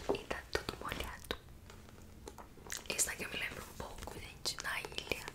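A woman whispering at a moderate pace, with long, frequent pauses and big swings in loudness. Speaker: ASMR content creator. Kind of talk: ASMR book showcase, casual talk to camera. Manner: whispered, soft-spoken. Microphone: studio mic.

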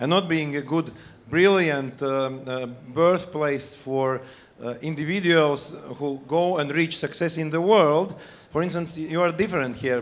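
Moderate pace and ordinary pitch variation. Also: man. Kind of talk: conference speech. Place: stage. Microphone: handheld.

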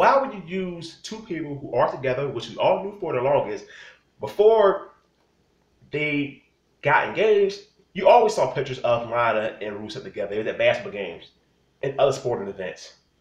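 Very wide pitch swings and big swings in loudness mark the voice, heard with audible room echo. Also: man, high pitch for a man. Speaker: wrestling commentator vlogger. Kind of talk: angry rant. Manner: loud, indignant, scolding. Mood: annoyed, opinionated. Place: home room. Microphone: phone near.

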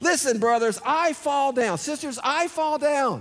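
A man speaks at an extremely high pitch, animated in tone. His pace is fairly slow, over a quiet background. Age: 60s. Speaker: pastor. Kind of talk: sermon. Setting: church. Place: church. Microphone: headset.

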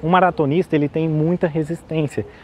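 A man talks at a fairly quick pace over light background noise, the sound dry with no echo. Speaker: health vlogger. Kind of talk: casual explanatory vlog talk. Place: street. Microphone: lapel.

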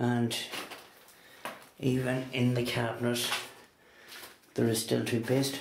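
A man's monotone, flat delivery at a very slow pace, with audible room echo and light background noise. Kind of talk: casual walkthrough commentary. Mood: quiet, amazed. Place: home room. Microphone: phone near.

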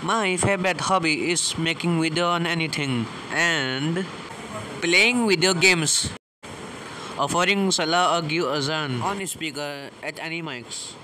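A high-pitched man speaking fairly slowly, with ordinary pitch variation and noticeable background noise. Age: young. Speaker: commerce student. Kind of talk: self-introduction to camera.

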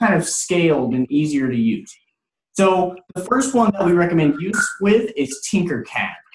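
A man speaks with a high pitch at a fairly slow pace. There is audible room echo and light background noise. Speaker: 3D printing trainer. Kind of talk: tutorial. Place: office. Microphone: video call.

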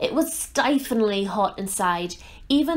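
This unforced reading voice carries lively intonation.

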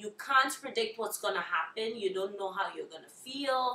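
Room echo can be heard clearly. The speaker is a woman. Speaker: interviewee. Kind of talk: interview answer. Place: home room.

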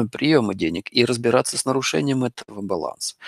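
With lively intonation, a man of medium pitch speaks in a dry, close sound with no echo. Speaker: astrologer. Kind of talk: lecture. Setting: live online broadcast with audience in hall.

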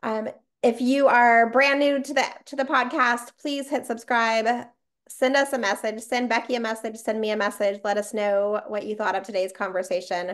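A woman with an American accent speaks at a fairly high pitch in an animated tone with ordinary pitch variation. The background is quiet. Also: moderate pace. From Las Vegas, US. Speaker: podcast host. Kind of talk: casual interview chat. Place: home room. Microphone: webcam.

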